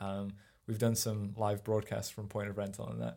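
In a very clean recording with a silent background, a man speaks in a dark, mellow tone with fairly even intonation. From northern England, near Sheffield (Rotherham). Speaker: videographer. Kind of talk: casual interview chat. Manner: talkative.

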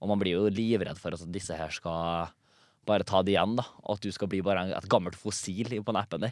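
Captured in a very clean recording with a silent background, a man with a very deep, low pitch speaks fairly quickly and with fairly even intonation. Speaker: comedian and TikTok creator. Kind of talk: casual chat.

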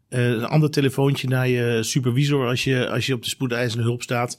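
A man has a plain, everyday voice and talks at a moderate pace, with medium pitch and fairly even intonation. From Netherlands (Rijnsburg, South Holland), moved from Germany at ten. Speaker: trauma surgeon. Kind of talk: expert discussion.

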